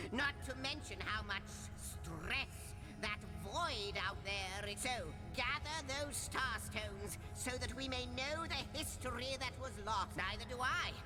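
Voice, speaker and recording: A female-sounding put-on character voice at a fairly slow pace, against loud background noise. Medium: game stream. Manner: wordy, playful, a bit fussy.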